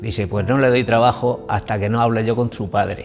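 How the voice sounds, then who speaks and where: A man with a Murcian accent at a moderate pace, fairly even intonation and music in the background. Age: 80s+. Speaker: retired miner. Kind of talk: oral history interview. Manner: halting.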